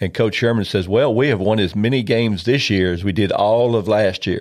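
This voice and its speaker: In a Southern US accent, a man talks at a moderate pace. His voice sits fairly low, with ordinary pitch variation. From Memphis, Tennessee. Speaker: retired pro football player. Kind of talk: interview storytelling. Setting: studio.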